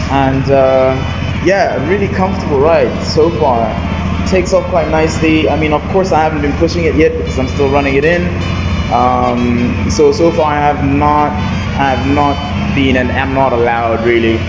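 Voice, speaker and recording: The pace is moderate. Loud background noise runs underneath. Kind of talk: casual vlog chat. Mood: relaxed, pleased. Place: garage. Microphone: phone near.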